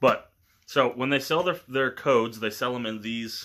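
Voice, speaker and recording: A man talks at a moderate speed, his pitch varying in an ordinary way. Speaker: collector vlogger. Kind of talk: casual vlog chat. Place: home room. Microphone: phone near.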